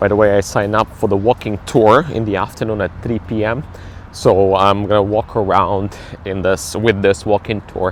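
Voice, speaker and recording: A man's fairly low voice, with fairly even intonation, comes at a moderate pace through noticeable background noise. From Ukraine, Kyiv. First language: Ukrainian or Russian. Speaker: travel vlogger and cruise ship entertainer. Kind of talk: casual travel vlog. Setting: outdoors, walking in city.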